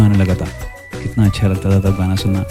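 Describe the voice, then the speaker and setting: A man's fairly low-pitched voice, with music in the background. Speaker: voice-over artist and radio jockey. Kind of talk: nostalgic storytelling narration to camera. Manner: warm, conversational, nostalgic.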